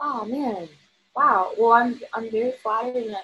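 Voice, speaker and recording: Using a plain, everyday voice, a woman with an American accent speaks at a moderate pace and fairly high pitch with fairly even intonation. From Virginia. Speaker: singer-songwriter. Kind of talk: casual interview chat.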